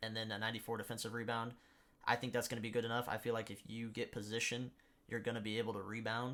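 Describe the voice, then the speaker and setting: A man races along at a very fast pace with long, frequent pauses, his medium-pitched voice flat and monotone. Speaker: gaming YouTuber. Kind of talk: gameplay tutorial. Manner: halting, with stutters and pauses.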